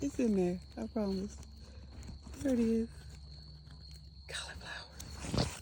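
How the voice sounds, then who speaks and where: With an American accent, a woman talks at a very slow pace, leaving long, frequent pauses, in a room with audible echo. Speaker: homesteader. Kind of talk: casual garden tour vlog. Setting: outdoors in garden. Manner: animated; whispering at times.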